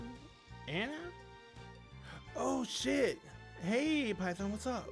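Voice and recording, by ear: Someone uses a put-on character voice at a very slow pace. Clear music plays in the background.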